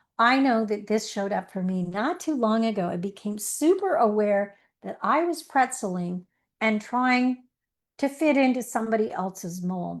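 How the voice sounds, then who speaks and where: The speaker has an unremarkable speaking voice and a moderate pace. The intonation is lively. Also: woman. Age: 60s. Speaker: life coach. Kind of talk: online masterclass talk. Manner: warm, conversational storytelling.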